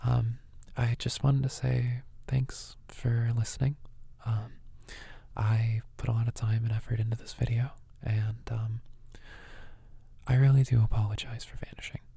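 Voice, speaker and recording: Dark and mellow in tone, a man's somewhat breathy voice holds a medium pitch and a monotone, flat intonation at a moderate pace. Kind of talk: casual talk to camera.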